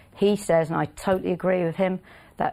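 In a very clean recording with a silent background, a woman with vocal fry and a fairly low pitch speaks at a moderate pace. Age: 50s. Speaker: racehorse trainer. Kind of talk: casual interview. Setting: studio.

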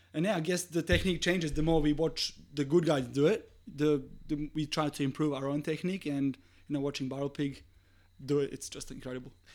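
A man talks at a fairly quick pace, his pitch fairly high. His intonation stays fairly even. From Serbia. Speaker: swimwear business owner. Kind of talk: casual chat. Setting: studio.

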